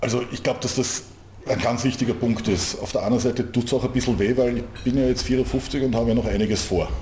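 Noticeable background noise sits under a man's voice. He talks at a very fast pace in a medium pitch with monotone, flat intonation. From Austria, Vienna. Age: 50s. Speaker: handball club manager. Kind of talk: interview. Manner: repeats words, hesitant fillers.

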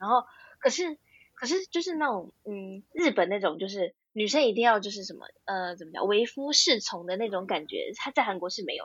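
Pitched fairly high, a woman talks at a fairly quick pace. Her voice swings very widely in pitch and shows big swings in loudness. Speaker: graduate student and part-time translator. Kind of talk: casual interview chat.

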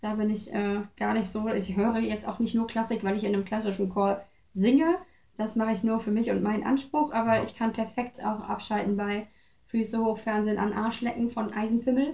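Somewhat breathy, a woman speaks at a fairly high pitch. Her intonation stays fairly even. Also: fairly quick pace. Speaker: interview guest, choir singer. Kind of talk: casual interview. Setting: home visit.

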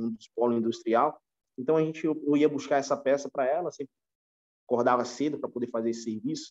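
A man's very fast speech with fairly even intonation, in a dry, close sound with no echo. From São Paulo, Brazil (until 14), then Recife. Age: 30s. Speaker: retail store manager. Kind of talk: podcast interview. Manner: halting, many repetitions.

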